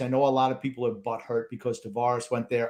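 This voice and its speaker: Speaking at a fairly quick pace, the man has a Long Island accent. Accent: Long Island New York. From Long Island, Suffolk County, New York. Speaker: sports podcast co-host. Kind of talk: casual chat.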